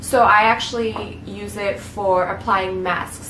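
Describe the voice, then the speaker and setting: A woman's voice in audible room echo. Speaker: beauty vlogger. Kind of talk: tutorial.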